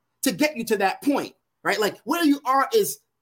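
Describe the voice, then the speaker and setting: Against a silent background in a very clean recording, a man with an American accent speaks at a very fast pace with lively intonation. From Brooklyn, New York. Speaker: education consultant and author. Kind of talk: interview.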